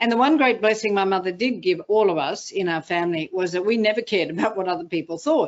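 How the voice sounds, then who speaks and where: Delivered at a very fast pace, the speech carries an Australian accent and lively intonation. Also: woman. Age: 60s. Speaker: motivational speaker. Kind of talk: interview.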